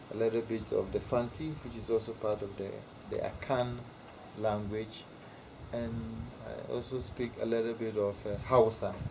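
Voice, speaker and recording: With a Ghanaian accent, a man speaks at medium pitch in a monotone, flat intonation, leaving long, frequent pauses over noticeable background noise. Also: moderate pace. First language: Ewe. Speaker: interviewee explaining culture. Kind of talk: informal interview.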